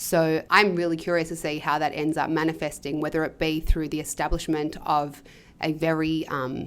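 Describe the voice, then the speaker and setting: Someone with an Australian accent speaks at a moderate pace in a flat monotone, recorded very cleanly against a silent background. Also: woman, very deep, low pitch for a woman. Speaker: podcast host. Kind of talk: podcast interview. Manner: hesitant, many fillers.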